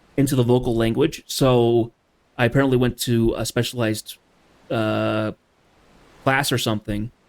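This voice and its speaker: At a moderate pace with long, frequent pauses, a man of medium pitch speaks in a monotone, flat intonation, recorded very cleanly with a silent background and a dry, close sound with no echo. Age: adult. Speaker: video game streamer. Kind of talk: casual gameplay chat. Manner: sometimes poorly enunciated.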